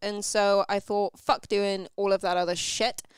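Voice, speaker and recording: On a very clean recording with a silent background, a woman talks at a moderate pace with a medium pitch. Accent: British. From Britain. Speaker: social scientist and writer. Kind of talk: talk show interview. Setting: home studio, live stream.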